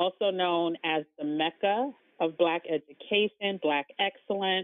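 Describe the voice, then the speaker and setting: The woman has an American accent. She talks at a medium pitch. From New York City, the Bronx. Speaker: travel business owner, former magazine employee. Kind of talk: casual interview.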